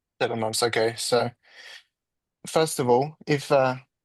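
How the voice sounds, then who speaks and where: A man's medium-pitched voice at a moderate pace, with a dry, close sound and no echo. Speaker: sales trainee in roleplay. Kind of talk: sales roleplay call. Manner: direct, straightforward.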